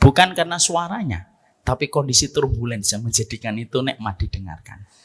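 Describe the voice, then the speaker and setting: A somewhat breathy man's medium-pitched voice at a fairly quick pace, with very wide pitch swings and a dry, close sound with no echo. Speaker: Islamic preacher. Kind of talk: religious lecture.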